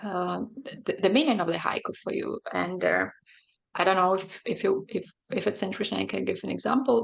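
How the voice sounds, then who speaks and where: Her pace is fairly quick. The woman speaks in a Belarusian accent. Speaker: poet and translator. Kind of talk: panel interview. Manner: halting, many fillers.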